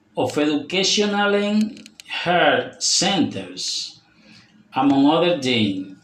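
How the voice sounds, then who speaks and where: A man speaks very slowly, his words carrying audible room echo. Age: 40s. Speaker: language student. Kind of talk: prepared speaking presentation. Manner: deliberate, reading-like.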